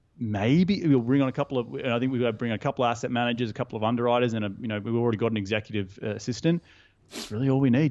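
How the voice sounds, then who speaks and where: Someone with an Australian accent talks at a very fast pace with ordinary pitch variation. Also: man, medium pitch for a man. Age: 30s. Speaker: real estate investor. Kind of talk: podcast interview. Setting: call. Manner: animated.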